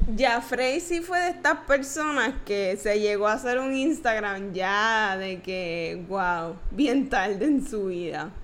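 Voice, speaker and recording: Speaking at a very slow pace with hardly any pauses, a woman's fairly high voice makes very wide pitch swings. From Puerto Rico, Trujillo Alto. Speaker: podcast co-host. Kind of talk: casual chat. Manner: laughs a lot.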